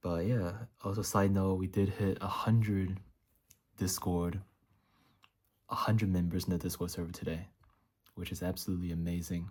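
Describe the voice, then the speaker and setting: Monotone and flat, a man speaks at a moderate pace in a very deep, low pitch. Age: 20s. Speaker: YouTuber documenting dropshipping. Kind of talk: vlog. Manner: casual, halting.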